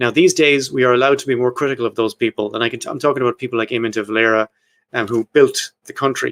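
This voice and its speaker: Very fast and medium in pitch, a man's voice comes across dry and close with no echo. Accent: Irish. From Ireland. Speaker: podcast host. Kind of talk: casual chat about history. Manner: reading from notes.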